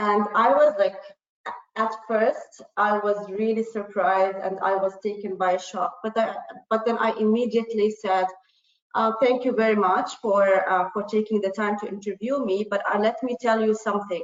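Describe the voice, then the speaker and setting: The speaker has an Arabic accent and a moderate pace. Intonation stays fairly even. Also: woman, medium pitch for a woman. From Jordan. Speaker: panelist. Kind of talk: panel discussion.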